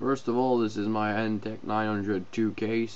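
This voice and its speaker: A man talks at a moderate pace with fairly low pitch. His intonation stays monotone and flat. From French Canada. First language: French. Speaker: PC owner. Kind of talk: casual computer build walkthrough. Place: home room. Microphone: phone near.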